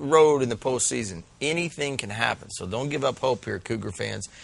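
Speaking fairly quickly, a man with a medium pitch makes very wide pitch swings. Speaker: high school football show host. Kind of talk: casual sports talk.

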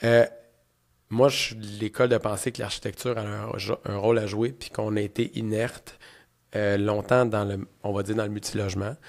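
A man with a Quebec accent speaks at a moderate pace in a fairly low, monotone, flat voice, with long, frequent pauses and a quiet background. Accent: Québécois French. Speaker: podcast host, real estate entrepreneur; podcast host. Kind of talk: interview conversation. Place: studio. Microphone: studio mic.

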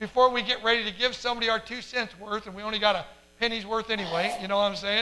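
Someone reads aloud plainly, with fairly even intonation.

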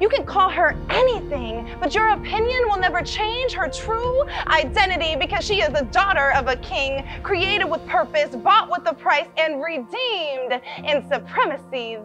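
Over music in the background, a woman in a raised, projected voice at an extremely high pitch swings very widely in pitch, with hardly any pauses. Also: moderate pace. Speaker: spoken word poet. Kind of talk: spoken word poetry performance.

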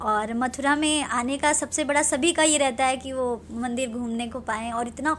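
A woman speaks at a high pitch with ordinary pitch variation. Her pace is fairly slow, with light background noise behind her. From Lucknow, Uttar Pradesh, India; Uttar Pradesh. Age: 20s. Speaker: film and TV actress; TV actress. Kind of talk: interview. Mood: friendly, smiling. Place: home room. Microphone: handheld.

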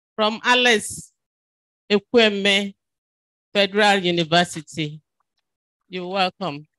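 Her tone bright and sharp, a woman speaks at a very slow pace with long, frequent pauses, in a dry sound with no echo. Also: medium pitch for a woman, ordinary pitch variation, quiet background. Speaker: event moderator, university official; event moderator. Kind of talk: formal event moderation. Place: hall. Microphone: handheld.

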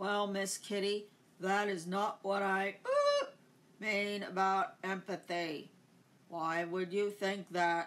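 A put-on character voice at a middle pitch drags along at a very slow pace. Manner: repeats words like a glitching machine.

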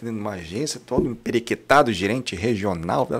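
The speaker has a strong northern Paraná accent. The pace is fairly quick. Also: man. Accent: northern Paraná accent, kept strong. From Londrina, northern Paraná, Brazil; Paraná, Brazil. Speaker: franchise business owner; podcast guest. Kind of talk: casual interview. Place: studio. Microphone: studio mic.

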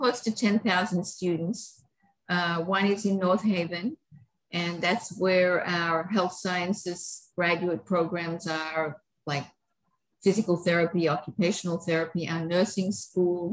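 Somewhat breathy, a woman speaks at a very slow pace with ordinary pitch variation. The background is quiet. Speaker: guest. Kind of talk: interview answer. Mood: warm, proud. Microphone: video call.

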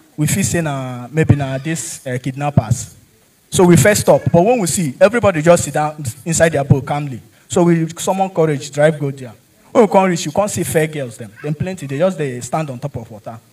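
Talking at a fairly quick pace with a Nigerian accent, a man shows ordinary pitch variation and big swings in loudness. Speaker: stand-up comedian. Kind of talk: stand-up comedy with Nigerian Pidgin storytelling. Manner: animated, jokey, laughs at own punchlines; conversational, addresses audience directly. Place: stage. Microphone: handheld.

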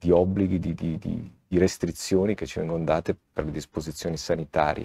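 Against a quiet background, a man talks at a fairly quick pace, with a dry, close sound and no echo. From Ticino, Switzerland (Locarno). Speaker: mayor. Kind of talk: casual interview.

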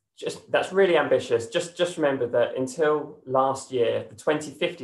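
A man's moderately paced speech carries noticeable room echo. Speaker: presenter. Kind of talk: presentation. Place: home room. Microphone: webcam.

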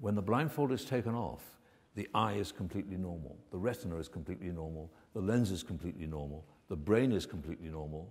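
A man speaks with a very deep, low pitch. His intonation is lively and his pace very fast. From United Kingdom. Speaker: medical research scientist. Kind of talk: conference keynote lecture. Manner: soft-spoken. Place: hall.

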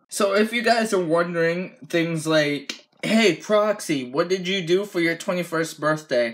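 A man with an American accent speaks at high pitch with ordinary pitch variation. His pace is fairly slow with hardly any pauses, and the background is quiet. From United States. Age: 20s. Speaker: gaming YouTuber. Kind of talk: casual vlog. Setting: at home, on camera. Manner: casual, relaxed. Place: home room. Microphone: phone near.

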